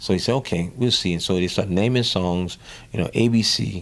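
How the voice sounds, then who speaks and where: At a moderate pace, a man with an American accent speaks in a fairly low pitch with ordinary pitch variation. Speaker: drummer. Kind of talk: interview. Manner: animated storytelling.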